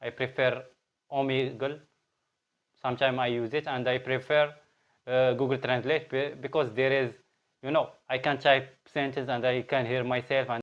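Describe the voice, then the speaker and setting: A man with a Moroccan accent, moderate pace, monotone and flat intonation, and long, frequent pauses. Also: medium pitch for a man. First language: Arabic. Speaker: language learning vlogger. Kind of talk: casual vlog monologue. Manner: halting, with fillers and restarts.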